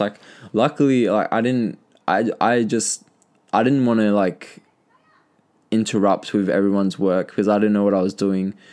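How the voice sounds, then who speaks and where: Medium-pitched man's voice with an Australian accent. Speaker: podcaster sharing personal story. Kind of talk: casual monologue, personal story. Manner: casual, filler-heavy, halting.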